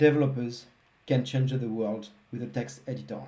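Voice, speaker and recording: With a French accent, a man speaks at a fairly slow pace in a medium pitch, his dark, mellow tone somewhat breathy, with audible room echo. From France. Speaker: software engineer, live coding presenter. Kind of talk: live coding stream wrap-up. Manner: casual, with hesitations.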